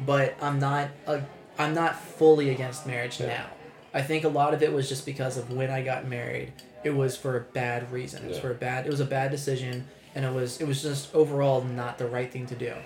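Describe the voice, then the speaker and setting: A man at a moderate pace, medium in pitch, monotone and flat in intonation, with music in the background. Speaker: podcast co-host. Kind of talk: casual, profane. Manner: casual, conversational.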